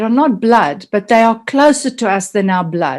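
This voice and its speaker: The speaker is a woman with a fairly high pitch. Her intonation is lively. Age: 60s. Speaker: mastermind group participant. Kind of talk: group video call sharing. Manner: halting, many fillers.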